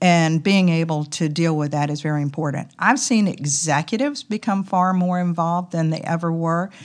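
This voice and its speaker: A woman with a Southern US accent talks at a moderate pace with hardly any pauses. Her pitch is fairly low, with ordinary variation. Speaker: company president. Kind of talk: casual interview. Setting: conference.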